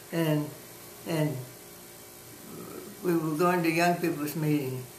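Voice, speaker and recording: With a New Orleans accent, a woman speaks very slowly in a monotone, flat way at a very deep, low pitch, amid audible room echo and noticeable background noise. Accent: New Orleans Southern US. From New Orleans, Louisiana. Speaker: grandmother interviewed about her life. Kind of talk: oral history interview. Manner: halting.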